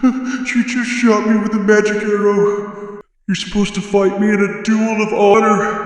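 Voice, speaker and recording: In a put-on character voice, a man speaks at a high pitch and moderate pace with monotone, flat intonation, heard through strong echo. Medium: audio drama. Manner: grandiose, menacing.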